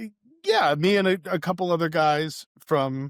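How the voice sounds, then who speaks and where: Lively intonation marks this man's fairly slow delivery, captured in a very clean recording with a silent background and a dry, close sound with no echo. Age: 40s. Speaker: e-commerce entrepreneur, former taxi business owner. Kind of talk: casual interview. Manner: hesitant, filler words.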